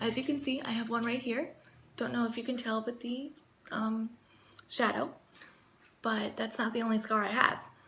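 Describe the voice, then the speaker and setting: A woman with a fairly high voice speaks at a moderate pace in a flat monotone. Her speech has long, frequent pauses, and background noise is noticeable. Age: 20s. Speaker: vlogger. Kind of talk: casual talk to camera.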